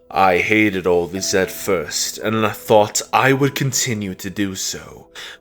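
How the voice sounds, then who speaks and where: Fairly slow, fairly low-pitched put-on character voice from a man. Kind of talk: dramatic monologue narration. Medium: dub.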